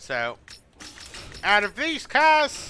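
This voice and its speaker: A man's raised, projected voice with an Australian accent. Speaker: video game streamer. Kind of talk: casual gameplay commentary.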